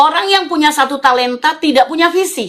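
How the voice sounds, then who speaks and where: Her tone is bright, sharp and animated as the woman speaks. She keeps a moderate pace with lively intonation. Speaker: preacher. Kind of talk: sermon.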